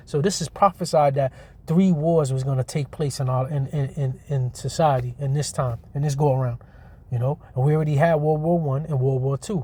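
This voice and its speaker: Somewhat breathy and fairly high, a man's dark, mellow voice moves at a fairly quick pace with fairly even intonation. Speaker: religious teacher. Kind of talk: scripture teaching. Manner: fast.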